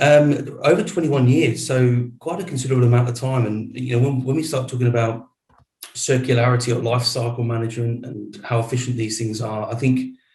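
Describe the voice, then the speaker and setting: This voice has an English accent and a fairly quick pace. The intonation stays fairly even. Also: man, medium pitch for a man. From England. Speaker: data center executive. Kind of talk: interview.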